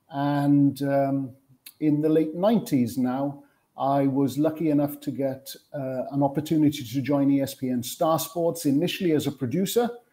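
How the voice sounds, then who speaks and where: A man's dark, mellow voice at a fairly high pitch in a Welsh accent, with ordinary pitch variation and a moderate pace. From Wales. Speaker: sports television producer. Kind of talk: panel interview.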